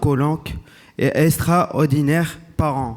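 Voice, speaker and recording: A man speaks very slowly in a fairly high pitch, his intonation flat and monotone. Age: 30s. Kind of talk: prepared speech read at a conference.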